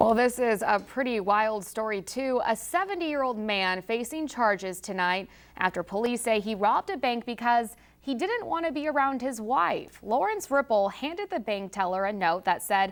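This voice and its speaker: Her voice is fairly high and an unremarkable speaking voice, with lively intonation, hardly any pauses, and a moderate pace. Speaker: news anchor. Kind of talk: TV news anchor read.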